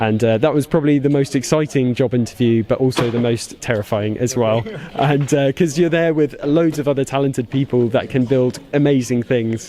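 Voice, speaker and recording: Speaking fairly quickly with hardly any pauses, a man keeps a medium pitch and fairly even intonation. Noticeable background noise is present. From UK. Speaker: toy designer. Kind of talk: interview.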